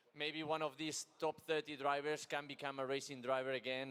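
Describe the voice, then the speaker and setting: A man with a Spanish accent speaks at a moderate pace in a flat, monotone delivery. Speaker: racing driver. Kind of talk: interview.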